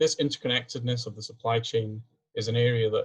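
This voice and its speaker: A somewhat breathy man speaks in a Scottish accent with monotone, flat intonation. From Scotland. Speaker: PhD student and engineer presenting research. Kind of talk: webinar presentation. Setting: video call.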